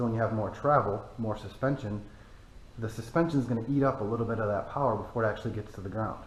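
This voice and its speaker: Speaking very fast with an American accent, a somewhat breathy man with a medium pitch is heard with audible room echo. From Michigan, US. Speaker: off-road vehicle YouTuber. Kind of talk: casual vehicle review. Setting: cold barn.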